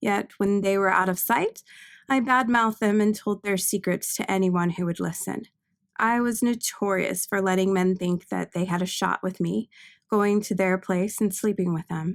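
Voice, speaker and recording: Soft-spoken and at medium pitch, a woman talks at a moderate pace with fairly even intonation, in a dry, close sound with no echo on a very clean recording with a silent background. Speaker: author reading own novel. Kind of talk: audiobook narration.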